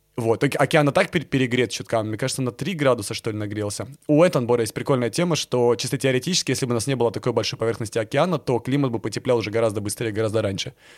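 Recorded very cleanly against a silent background, a man speaks at a very fast pace with medium pitch and ordinary pitch variation. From Crimea (Yevpatoria). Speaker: documentary filmmaker and blogger. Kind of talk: casual chat. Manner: animated.

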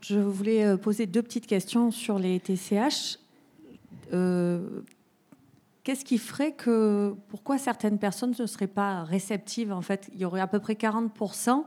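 The woman's voice has a dark, mellow tone at a medium pitch. She speaks at a very slow pace with ordinary pitch variation. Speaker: audience member asking question. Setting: audience with microphone.

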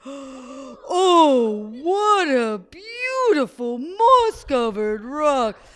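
A high-pitched, put-on character voice swings very widely in pitch. The delivery is very slow. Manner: playful, sing-song, group call.

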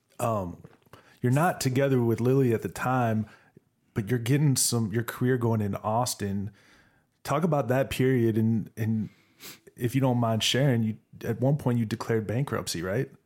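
A man's medium-pitched voice at a moderate pace, very even in loudness, with ordinary pitch variation and long, frequent pauses, on a very clean recording with a silent background. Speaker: podcast host. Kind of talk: casual interview.

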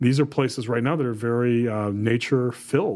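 Delivered at a moderate pace in a Midwestern US accent, the speech shows ordinary pitch variation. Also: man. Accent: US Midwest. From Ohio, Toledo area. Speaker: podcast co-host. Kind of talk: casual chat.

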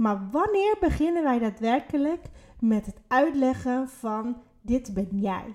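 Fairly slow but with lively intonation, a woman speaks at a high pitch. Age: 30s. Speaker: podcast co-host, spiritual coach. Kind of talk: casual chat.

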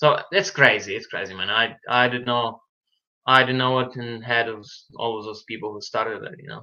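Bright and sharp in tone, a man with a Ukrainian accent talks at a fairly quick pace and medium pitch, with ordinary pitch variation and big swings in loudness. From Ukraine, Lviv. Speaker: boxer. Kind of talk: interview.

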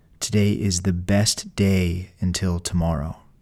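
Very deep and low, a man's voice carries a soothing, dark, mellow tone with fairly even intonation. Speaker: frontline healthcare worker. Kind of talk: guided pre-shift meditation, calm and encouraging. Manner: slow, measured, soothing pacing with breathing cues; gently motivational, rising to quiet resolve.

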